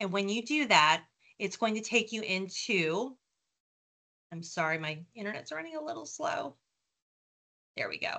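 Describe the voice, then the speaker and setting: With long, frequent pauses, a woman speaks at medium pitch in a bright, sharp tone, her pitch swinging very widely. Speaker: tutoring service representative. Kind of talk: product demo presentation. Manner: fast.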